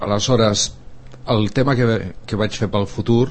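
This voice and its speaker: A man speaks with a fairly low pitch. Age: 50s. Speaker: musician. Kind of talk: casual chat.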